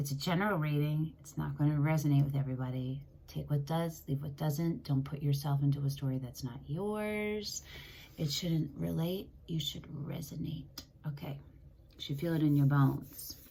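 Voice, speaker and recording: A woman's very deep, low voice at a moderate pace, with ordinary pitch variation and audible room echo. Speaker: tarot reader. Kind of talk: tarot reading monologue. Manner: casual, scattered.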